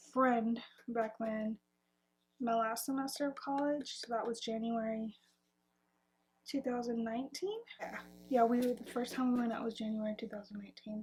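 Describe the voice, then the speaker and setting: Speaking at a moderate pace, a woman uses a fairly high pitch and fairly even intonation. Her delivery has long, frequent pauses. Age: 20s. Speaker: vlogger. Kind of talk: casual chat. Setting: at home, bedroom. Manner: casual, hesitant with many fillers.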